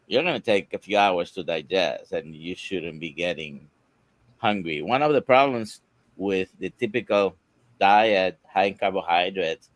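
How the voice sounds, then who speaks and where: A man speaks at a moderate pace in a fairly low pitch with ordinary pitch variation. It is an ordinary speaking voice, with a dry, close sound with no echo. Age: 60s. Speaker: doctor. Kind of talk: live Q&A panel.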